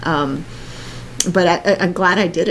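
There is noticeable background noise behind this woman. She talks at a fairly low pitch with fairly even intonation. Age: 50s. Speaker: podcast co-host and professional organizer. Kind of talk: casual chat.

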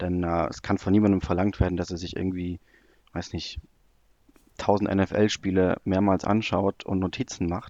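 A man with a very deep, low pitch and a dark, mellow tone speaks in a monotone, flat intonation at a moderate pace with long, frequent pauses, in a dry, close sound with no echo against a quiet background. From Germany, near Cologne. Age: 20s. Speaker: football analytics blogger. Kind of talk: podcast interview, casual chat. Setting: remote call.

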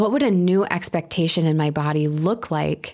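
The speaker has a normal speaking voice with an American accent and ordinary pitch variation, at a fairly slow pace. The recording is very clean, with a silent background. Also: woman. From US Midwest, Milwaukee, Wisconsin. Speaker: community organizer and yoga teacher. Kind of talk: interview conversation.

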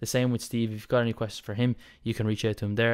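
On a very clean recording with a silent background, a man speaks at a fairly low pitch. His intonation is monotone and flat. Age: 20s. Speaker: podcast host and bodybuilder. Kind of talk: casual interview chat.

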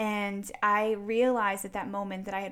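A woman's unremarkable speaking voice at a moderate pace, on a very clean recording with a silent background. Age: 30s. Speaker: fitness and faith coach for women. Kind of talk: casual interview.

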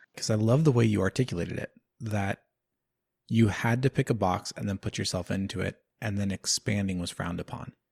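A man speaks in a fairly low voice. His tone is somewhat breathy. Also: ordinary pitch variation. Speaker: podcast host. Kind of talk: podcast interview with scripted intro and outro.

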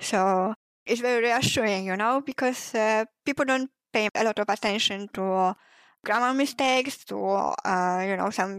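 Speaking with a non-native accent at a fairly slow pace, a woman has a fairly high pitch and ordinary pitch variation, in a dry, close sound with no echo. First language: not English. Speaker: fanfiction writer. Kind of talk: casual interview chat.

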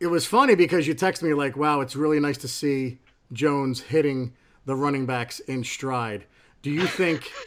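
This man has an unremarkable speaking voice at a fairly high pitch. He talks at a moderate pace with ordinary pitch variation. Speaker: newspaper editor and podcast host. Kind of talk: casual chat.

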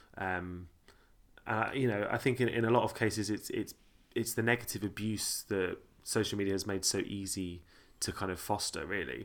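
A man with a southern English accent talks at a moderate pace with fairly even intonation on a very clean recording with a silent background. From Sussex, England. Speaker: podcast host. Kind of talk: casual chat. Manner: casual, bantering.

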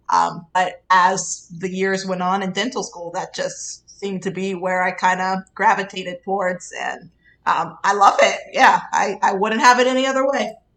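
A woman with an American accent uses an ordinary speaking voice at a moderate pace, with ordinary pitch variation and hardly any pauses. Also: medium pitch for a woman. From Pittsburgh, Pennsylvania. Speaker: pediatric dentist. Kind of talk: interview.

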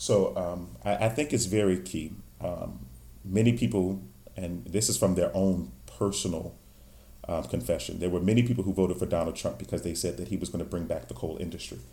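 In a room with audible echo, a man talks at a fairly quick pace in a very deep, low voice with vocal fry, lively intonation and a dark, mellow tone. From Virginia, Stafford County. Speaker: pastor and political candidate. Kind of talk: interview.

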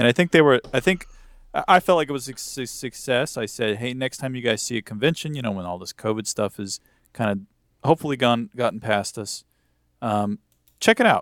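A man with a plain, everyday voice at medium pitch, fairly quick and with lively intonation, big swings in loudness, on a very clean recording with a silent background. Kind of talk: casual chat.

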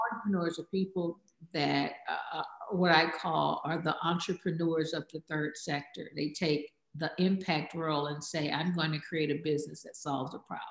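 At a moderate pace, a woman with a very deep, low pitch talks with fairly even intonation. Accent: American. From Texas, Houston. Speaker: social impact entrepreneur. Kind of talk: interview.

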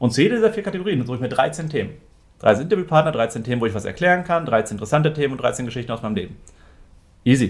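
Talking at a very fast pace, a man uses a fairly high pitch with very wide pitch swings. His voice is somewhat breathy. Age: 30s. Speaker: entrepreneur and business photographer, former teacher. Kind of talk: casual interview.

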